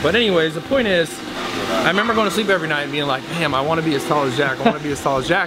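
A man speaks against loud background noise. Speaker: gym owner vlogger. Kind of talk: casual vlog chat. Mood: joking, storytelling. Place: gym. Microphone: phone near.

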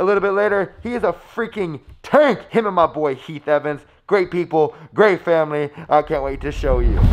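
A man with lively intonation, speaking at a moderate pace. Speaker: fitness vlogger. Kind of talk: casual vlog chat. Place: home room. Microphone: phone near.

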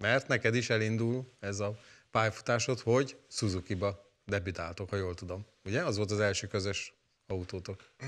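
The clip has a normal speaking voice at a moderate pace with ordinary pitch variation. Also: man, fairly low pitch for a man. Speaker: talk show host. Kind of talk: talk show interview. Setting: studio. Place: studio. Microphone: lapel.

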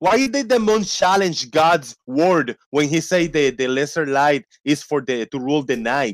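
A man talks with a fairly high pitch and lively intonation. His pace is fairly slow, and the background is quiet. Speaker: debate participant. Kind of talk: heated debate. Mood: challenging, argumentative. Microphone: video call.

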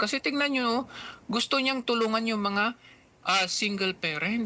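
Noticeable background noise is present. The speaking goes along fairly slowly. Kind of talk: angry rant. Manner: furious, sarcastic and accusatory, hammering points with rhetorical questions.

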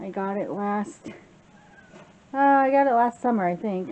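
Light background noise accompanies speech delivered at a moderate pace. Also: woman. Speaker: home vlogger. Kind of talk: casual vlog chat. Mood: cheerful, relaxed. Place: garden. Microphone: phone near.

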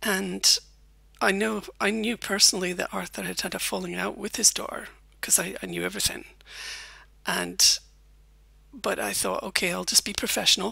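Long, frequent pauses break up speech at a moderate pace. The recording is very clean, with a silent background. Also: woman. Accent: Scottish. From Scotland. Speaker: former journalist, YouTuber. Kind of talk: personal storytelling monologue.

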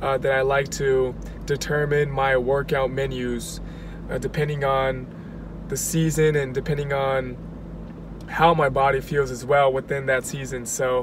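Over noticeable background noise, a man talks fairly slowly with monotone, flat intonation in a dry sound with no echo. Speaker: athlete vlogger. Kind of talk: casual vlog chat. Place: car. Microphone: phone near.

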